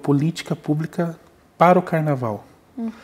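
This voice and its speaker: This is a man speaking. His voice comes across somewhat breathy. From Antonina, Paraná coast, southern Brazil; Paraná, Brazil. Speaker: music researcher; guest. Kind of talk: interview. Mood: calm, explanatory. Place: studio.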